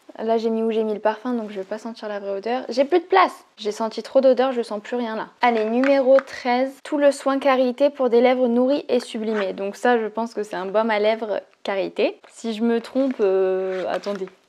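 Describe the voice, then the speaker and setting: A woman at a fairly high pitch, ordinary pitch variation, moderate pace and hardly any pauses. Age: 20s. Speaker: beauty YouTuber. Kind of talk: product unboxing video. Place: home room. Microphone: lapel.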